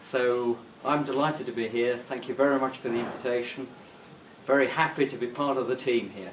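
In an English accent, a man speaks at a fairly quick pace with medium pitch and fairly even intonation. Audible room echo and light background noise surround him. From England. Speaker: pig genetics industry consultant. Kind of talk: interview testimonial; short video greeting. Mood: cheerful, smiling. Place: office.

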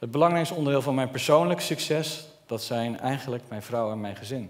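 At a moderate pace, a man is talking. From Netherlands, Brabant; Netherlands. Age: 30s. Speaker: entrepreneur; speaker. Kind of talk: public speech. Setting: stage with audience. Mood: earnest, personal storytelling. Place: stage. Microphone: headset.

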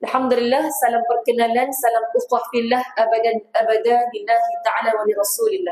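With hardly any pauses, a woman talks in a normal speaking voice, her pitch fairly high and her intonation fairly even. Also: moderate pace. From Selangor, Malaysia. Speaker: religious teacher. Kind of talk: religious lecture.

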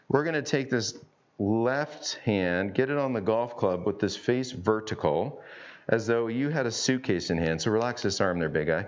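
Speaking at a moderate pace, the man has a fairly low pitch and ordinary pitch variation.

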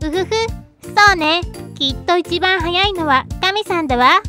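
Clear music plays behind a put-on character voice at an extremely high pitch, delivered at a moderate pace. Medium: read story.

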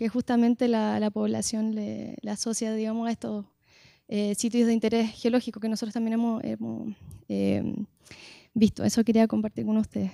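A woman speaks with a Chilean accent and a fairly high pitch, her tone dark and mellow. The sound is dry with no echo, and the background is quiet. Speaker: geologist; audience member. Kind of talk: audience comment. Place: hall. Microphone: handheld.

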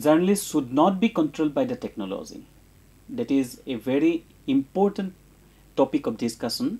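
Someone with an Indian accent speaks at a moderate pace with long, frequent pauses. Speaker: university educator, programme presenter. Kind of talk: educational programme hosting. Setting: studio. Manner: formal.

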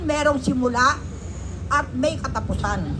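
A woman talks fairly slowly with noticeable background noise around her. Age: 70s. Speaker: senior citizen protest speaker. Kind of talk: protest speech. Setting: outdoors. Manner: loud, shouting.

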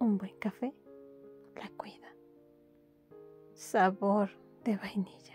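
Music plays in the background as a woman talks at a very slow pace with long, frequent pauses. Her medium-pitched voice has a calm tone and monotone, flat intonation. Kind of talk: poetry reading. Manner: soft-spoken, calm, slow.

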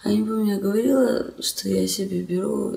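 Her pace is very slow. The speaker is a woman. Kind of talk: casual vlog chat. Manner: weak, drowsy post-surgery voice. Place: home room. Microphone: phone near.

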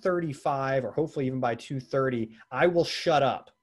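The pace is fairly quick. The background is quiet. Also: man. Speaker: sales trainer and webinar presenter; sales trainer, webinar presenter. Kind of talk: webinar presentation. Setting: video webinar. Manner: fast. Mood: friendly, self-deprecating. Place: office. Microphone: video call.

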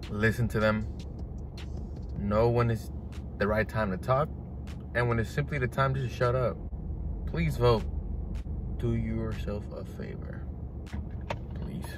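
A man with a fairly low pitch talks at a fairly slow pace with long, frequent pauses, in a dry sound with no echo over noticeable background noise. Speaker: vlogger. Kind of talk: casual vlog chat. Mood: earnest, urging. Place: car. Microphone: phone near.

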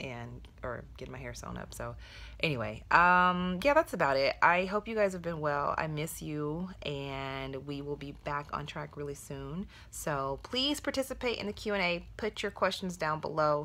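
A woman speaks at a fairly slow pace, her loudness swinging widely. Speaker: beauty vlogger. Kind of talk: casual vlog chat. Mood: upbeat, chatty. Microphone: phone near.

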